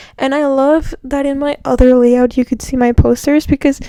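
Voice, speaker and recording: Soft-spoken and high-pitched, a woman talks at a fairly slow pace with fairly even intonation. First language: not English. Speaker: book vlogger. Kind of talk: casual chat. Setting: in bed at home.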